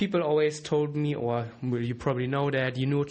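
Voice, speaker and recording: In a German accent, a man talks at a moderate pace with ordinary pitch variation. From Germany. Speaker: trading educator, podcast host. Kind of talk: solo podcast monologue. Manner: casual, with fillers and restarts.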